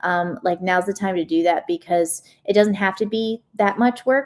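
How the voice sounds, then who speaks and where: Fairly even in intonation, a normal speaking voice proceeds at a medium speed. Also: woman. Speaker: live stream host. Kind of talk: live stream Q&A. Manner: casual, many filler words.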